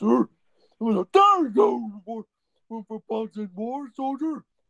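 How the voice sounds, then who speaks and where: The man speaks with a high pitch. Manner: excitable, shouting.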